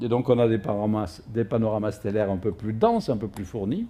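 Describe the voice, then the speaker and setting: A man with a Provençal accent and a dark, mellow tone at a moderate pace. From Provence, southern France. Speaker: astrophysicist. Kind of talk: public lecture. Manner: frequent hesitations (euh).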